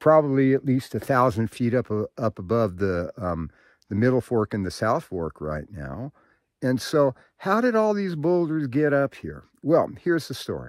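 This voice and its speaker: A man's pitch swings very widely. The sound is dry, with no echo. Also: moderate pace, quiet background. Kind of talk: casual vlog explanation. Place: open country. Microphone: phone near.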